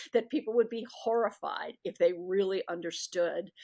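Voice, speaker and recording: Speaking at a fairly slow pace, a woman has a fairly high voice. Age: 60s. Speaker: author and history professor. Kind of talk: interview. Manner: halting.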